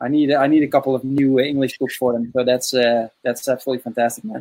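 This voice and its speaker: A man with a Dutch accent and a fairly high pitch talks at a fairly quick pace. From Netherlands. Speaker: podcast host, father coach. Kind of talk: casual interview. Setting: video call.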